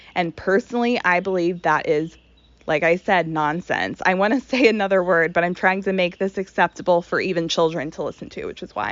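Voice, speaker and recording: A woman with an unremarkable speaking voice speaks at a fairly low pitch. Her pace is fairly quick, with ordinary pitch variation. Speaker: spiritual content creator. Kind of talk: monologue.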